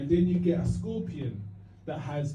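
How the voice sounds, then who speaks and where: Amid audible room echo, a man with a Cockney accent and a fairly high pitch speaks at a fairly slow pace. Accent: East London Cockney. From East London. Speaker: stand-up comedian. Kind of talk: stand-up. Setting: stage with audience. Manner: halting.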